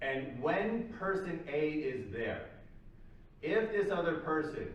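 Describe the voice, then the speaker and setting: Lively intonation over noticeable background noise, with audible room echo. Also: man. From Canada, Toronto. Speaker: psychology lecturer. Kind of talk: lecture. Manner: casual, conversational with fillers.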